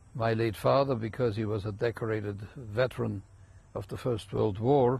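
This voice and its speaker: A man speaks at a moderate pace in a fairly low, somewhat breathy voice. His intonation stays fairly even. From Germany, Munich. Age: 80s+. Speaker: rabbi. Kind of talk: interview.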